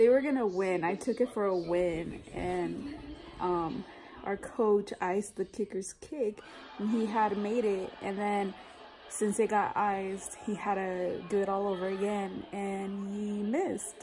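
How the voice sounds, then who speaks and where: Clear music plays behind a woman who speaks fairly slowly with ordinary pitch variation. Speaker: family vlogger. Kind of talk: casual vlog chat. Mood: relaxed, chatty. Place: home room. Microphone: phone near.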